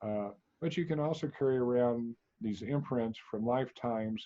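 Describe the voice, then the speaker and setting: A man speaks at a moderate pace in a medium pitch. His pitch varies in an ordinary way. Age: 60s. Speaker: energy healer. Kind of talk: interview. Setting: studio. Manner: halting.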